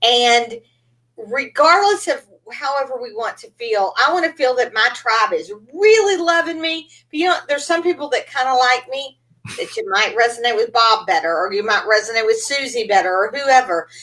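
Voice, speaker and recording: Speaking at a moderate pace in a Texan accent, a woman uses a high pitch, a bright, sharp tone and very wide pitch swings. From East Texas. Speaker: podcast host, business coach. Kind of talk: interview. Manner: animated.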